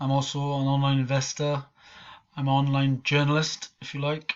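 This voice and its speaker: In a Welsh accent, a man speaks at a moderate pace with a fairly high pitch. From Wales. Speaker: online marketer and scam-exposing vlogger. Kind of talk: casual vlog rant. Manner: casual, hesitant with many ums.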